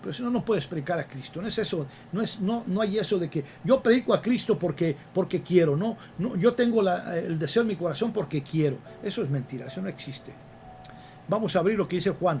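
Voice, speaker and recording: A man's high, fairly quick voice with lively intonation. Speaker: radio preacher. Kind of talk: sermon. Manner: fast.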